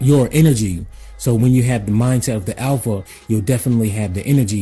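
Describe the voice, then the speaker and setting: The man's voice has a dark, mellow tone and is somewhat breathy. His pitch variation is ordinary. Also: very clean recording, silent background. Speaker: personal development consultant. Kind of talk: motivational talk to camera. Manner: casual, repetitive with filler words.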